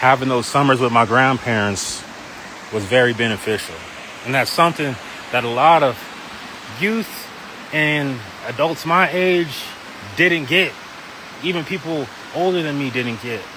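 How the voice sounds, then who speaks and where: A man's medium-pitched voice with lively intonation, moderate pace and long, frequent pauses, over noticeable background noise. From Wyoming. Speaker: pastor. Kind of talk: testimony. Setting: outdoors in a park. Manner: casual, conversational.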